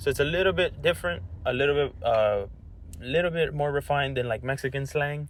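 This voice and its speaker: A man with an unremarkable speaking voice talks at a fairly quick pace, with fairly high pitch, lively intonation and very even loudness. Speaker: podcast host. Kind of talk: casual conversation.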